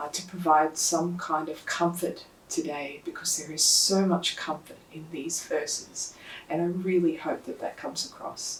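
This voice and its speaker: Soft-spoken, a woman talks at a moderate pace with a fairly low pitch, fairly even intonation and big swings in loudness, amid noticeable background noise and audible room echo. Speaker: lay preacher. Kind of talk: sermon.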